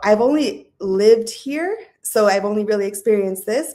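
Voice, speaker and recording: This woman has a fairly high pitch and a dark, mellow tone, speaking with an American accent. Her intonation is lively and her pace moderate. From Southern California. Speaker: guest on a talk show. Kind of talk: casual interview chat.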